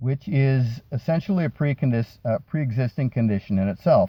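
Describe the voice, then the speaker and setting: A dark, mellow, somewhat breathy voice at a moderate pace, in a very clean recording with a silent background. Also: man, dry, close sound with no echo. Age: 60s. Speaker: educational vlogger. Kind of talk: explainer monologue with opinion. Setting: sitting in a dentist parking lot.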